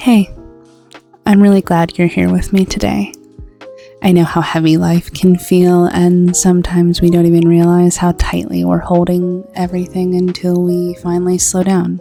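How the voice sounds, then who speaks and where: With music in the background, a woman speaks at a moderate pace in a fairly low pitch and a calm, gentle tone. Her intonation is monotone and flat, and her loudness stays very even. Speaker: digital artist and video creator. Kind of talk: comfort voiceover over art timelapse. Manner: calm, gentle, soothing.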